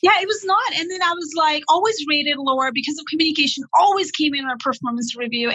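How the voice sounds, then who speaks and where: A woman talks very fast in a raised, projected voice with lively intonation over noticeable background noise. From Nepal. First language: Nepali. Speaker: career consultant. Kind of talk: interview. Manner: animated.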